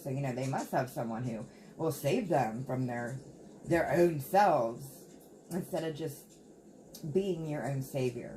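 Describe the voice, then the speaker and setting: A woman speaks with a very deep, low pitch and ordinary pitch variation. Long, frequent pauses break up her speech, with noticeable background noise behind it. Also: fairly slow pace. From Appalachia, United States. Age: 40s. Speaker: tarot reader. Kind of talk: tarot reading talk to camera. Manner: casual, chatty.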